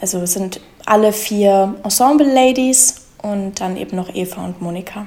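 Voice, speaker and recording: A woman keeps a moderate pace while background noise is noticeable. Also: medium pitch for a woman, ordinary pitch variation. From Germany, Munich. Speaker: musical theatre performer. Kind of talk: casual interview chat.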